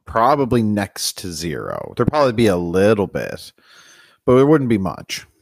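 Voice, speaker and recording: A man with a normal speaking voice talks at a moderate pace, his pitch medium and his intonation lively. The recording is very clean, with a silent background. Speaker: podcast co-host. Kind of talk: casual banter about racing.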